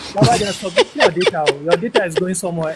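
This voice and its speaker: Someone speaks with a northern Nigerian accent over noticeable background noise. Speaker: caller. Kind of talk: live Q&A discussion.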